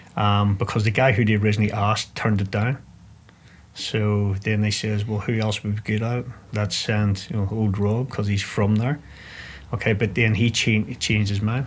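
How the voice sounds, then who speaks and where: A man's fairly low voice with a Northern Irish accent, flat and monotone, at a moderate pace. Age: 40s. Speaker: ex-special forces soldier. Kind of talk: interview. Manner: halting.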